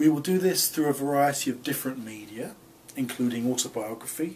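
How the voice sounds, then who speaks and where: A man with a London accent speaks amid audible room echo. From England, London. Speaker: professor. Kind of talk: course introduction lecture. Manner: formal.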